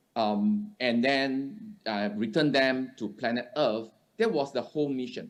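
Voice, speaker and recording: A man talks at a medium pitch. His voice makes very wide pitch swings. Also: fairly slow pace. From Singapore. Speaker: conference speaker. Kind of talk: conference presentation. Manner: halting, many fillers.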